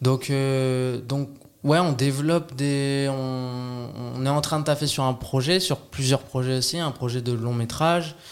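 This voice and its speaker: A man talks at a very slow pace. His pitch is medium and his intonation fairly even. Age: 30s. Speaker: actor. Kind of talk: casual chat. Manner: halting.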